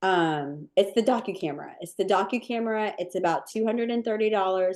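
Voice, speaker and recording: A plain, everyday voice from a woman of medium pitch with ordinary pitch variation. She talks at a fairly quick pace against a quiet background. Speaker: cookie decorating instructor. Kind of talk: live online training webinar with Q&A.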